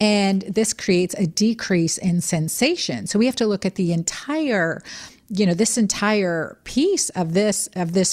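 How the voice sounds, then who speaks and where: A woman with an unremarkable speaking voice and medium pitch speaks with lively intonation and very even loudness on a very clean recording with a silent background. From Texas. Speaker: doctor and women's health expert. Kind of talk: expert interview.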